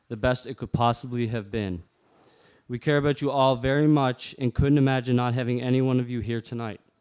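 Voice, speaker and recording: Fairly quick pace and ordinary pitch variation over a quiet background. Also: man. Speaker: groom. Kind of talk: wedding speech. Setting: wedding reception. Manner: reading from phone.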